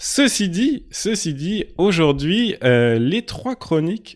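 A man with a slight Quebec accent, lively intonation and a very slow pace. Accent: slight Quebec tinge on French. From Lille, northern France. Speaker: podcast host. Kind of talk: casual chat. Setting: remote recording.

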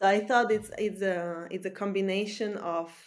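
A woman with a Slovak accent speaks with ordinary pitch variation. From Slovakia, small village in the middle. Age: 20s. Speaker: salesperson. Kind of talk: interview.

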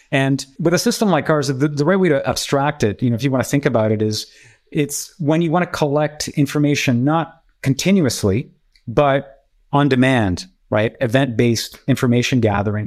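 A man with an ordinary speaking voice and fairly high pitch talks at a moderate pace with lively intonation and very even loudness in a very clean recording with a silent background. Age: 50s. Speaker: engineer and entrepreneur. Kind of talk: interview conversation.

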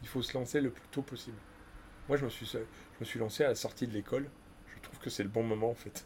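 The speech runs at a very fast pace, broken by long, frequent pauses, with big swings in loudness. The intonation is fairly even, and the voice is somewhat breathy. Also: man, medium pitch for a man. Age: 50s. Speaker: business owner. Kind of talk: casual chat.

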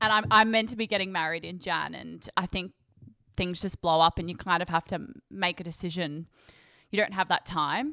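Recorded very cleanly with a silent background, a woman speaks at a moderate pace and fairly low pitch, with ordinary pitch variation and vocal fry. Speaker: podcast co-host. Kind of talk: casual interview chat.

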